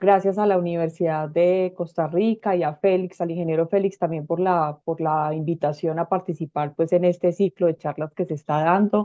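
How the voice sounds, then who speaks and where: The speech carries a Colombian accent and fairly even intonation. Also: woman. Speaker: urban planning expert, speaker. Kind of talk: lecture. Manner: fast.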